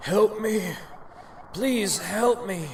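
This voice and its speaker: A put-on character voice at a fairly high pitch comes through over clear background noise. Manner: pleading.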